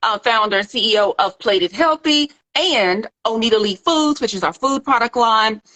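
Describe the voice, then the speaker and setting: A woman in a Southern US accent with a fairly high pitch and lively intonation. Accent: Southern twang. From US South, Little Rock, Arkansas. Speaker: nutrition doctor and plant-based food entrepreneur. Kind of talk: casual livestream chat. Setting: social media live video. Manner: relaxed, laid-back.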